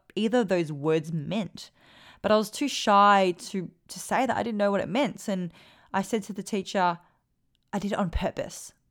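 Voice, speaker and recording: A woman with an Australian accent speaks at a moderate pace in an animated tone, her medium pitch showing ordinary variation, on a very clean recording with a silent background. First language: Vietnamese. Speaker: podcast host and performance coach. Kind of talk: casual Q&A monologue.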